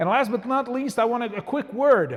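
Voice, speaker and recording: A man talks at a moderate pace. He has a slight French Canadian accent. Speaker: museum historian. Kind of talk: public lecture. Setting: church with live audience. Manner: hesitant, many fillers.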